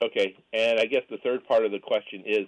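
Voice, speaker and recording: Talking at a fairly quick pace, a man with a normal speaking voice has a medium pitch and ordinary pitch variation. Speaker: caller. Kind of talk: phone-in question. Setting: phone call.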